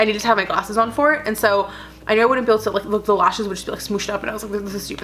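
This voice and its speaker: A woman's animated voice at a very fast pace, with noticeable background noise. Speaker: lifestyle vlogger. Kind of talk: casual vlog.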